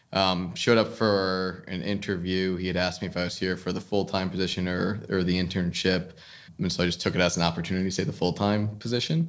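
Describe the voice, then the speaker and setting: Speaking at a very fast pace, a man with an American accent keeps a very deep, low pitch and fairly even intonation. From New Jersey. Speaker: commercial real estate executive. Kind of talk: interview conversation.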